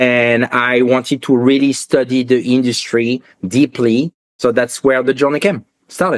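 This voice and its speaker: With a strong French accent, a man speaks at medium pitch and a moderate pace with fairly even intonation, in a dry, close sound with no echo. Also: very even loudness. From France, Paris. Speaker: watch industry entrepreneur. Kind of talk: podcast interview.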